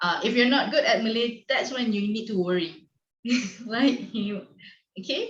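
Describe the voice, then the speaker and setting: A woman speaks at a moderate pace with a fairly high pitch and ordinary pitch variation. Her voice is somewhat breathy, and she takes long, frequent pauses. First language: not English. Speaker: online teacher conference facilitator. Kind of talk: video call discussion.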